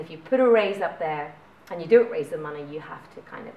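A woman with a Northern Irish accent talks at a fairly quick pace. Audible room echo and light background noise can be heard. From Northern Ireland. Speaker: startup founder and managing director; presenter. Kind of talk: talk to a meetup audience. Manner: casual, informal. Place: meeting room. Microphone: camera far.

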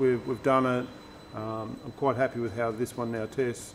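Moderate-paced male speech over light background noise. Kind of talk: explanation to visitors on camera. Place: workshop.

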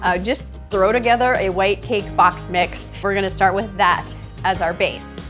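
With faint music in the background, a woman talks at a fairly slow pace. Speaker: cooking show host. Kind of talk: tutorial. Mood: cheerful and friendly. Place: kitchen.

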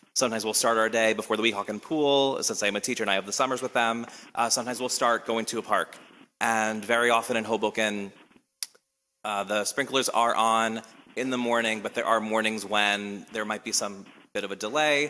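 A man speaks loudly at a moderate pace, his bright, sharp tone held at medium pitch in flat, monotone intonation. The recording is very clean, with a silent background. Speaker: teacher speaking as public commenter. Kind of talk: public comment at council meeting. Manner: hesitant, many fillers.

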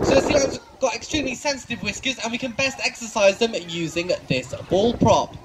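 A man talks fairly fast while loud noise fills the background. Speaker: presenter. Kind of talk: live show commentary. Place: stadium.

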